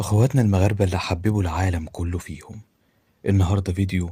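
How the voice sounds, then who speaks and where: In an Egyptian accent, a man speaks at a moderate pace with a fairly low pitch, ordinary pitch variation and a dark, mellow, somewhat breathy tone. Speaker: video commentator. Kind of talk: vlog address to viewers. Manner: emphatic.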